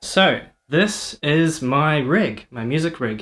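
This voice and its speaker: A man with a New Zealand accent and ordinary pitch variation. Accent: New Zealand, noticeable. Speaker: electronic musician and streamer. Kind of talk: casual livestream talk explaining music setup. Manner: hesitant, many fillers. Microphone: first time using mic, feedback through laptop.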